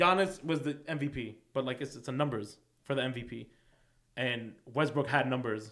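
A man with a New York accent, medium in pitch, at a moderate pace with ordinary pitch variation. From New York, Queens. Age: 20s. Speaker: sports fan guest. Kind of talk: casual chat.

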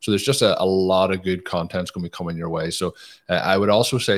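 With an Irish accent, a man speaks at a very fast pace in a very deep, low pitch. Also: very clean recording, silent background. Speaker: podcast host. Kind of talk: casual podcast interview.

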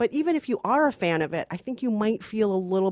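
Very fast and with very wide pitch swings, a woman speaks in a dry, close sound with no echo. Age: 40s. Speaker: film critic co-host. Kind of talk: casual film review chat.

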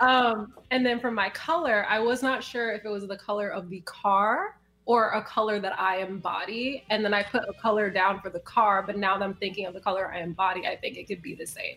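A woman in a normal speaking voice talks at a fairly quick pace with hardly any pauses, her medium pitch showing ordinary variation. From Chicago. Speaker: music manager. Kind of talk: casual chat.

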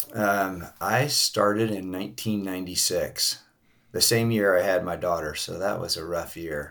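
A man speaks in a plain, everyday voice at a fairly low pitch. His pace is moderate, with ordinary pitch variation. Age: 50s. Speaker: masters CrossFit champion and construction business owner. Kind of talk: interview.

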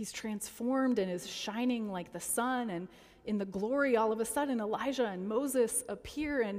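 The reading aloud is plain, and its pitch varies in an ordinary way.

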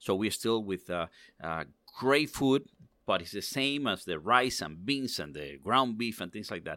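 Speaking at a fairly slow pace with a Spanish accent, a man with a fairly low pitch and a bright, sharp tone makes very wide pitch swings and big swings in loudness, on a very clean recording with a silent background. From Cuba, raised in Miami Cuban community. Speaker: cigar industry executive. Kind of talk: interview.

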